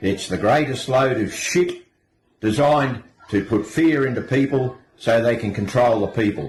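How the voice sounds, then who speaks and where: A man speaks with a strong Australian accent at a medium pitch. His pace is moderate and his pitch varies in an ordinary way. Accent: broad Australian. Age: 70s. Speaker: retiree ranting. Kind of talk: angry rant.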